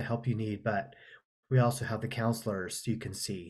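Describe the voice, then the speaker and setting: This man speaks with a somewhat breathy voice. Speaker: counselor leading a webinar. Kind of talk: webinar presentation. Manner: casual, with fillers and restarts.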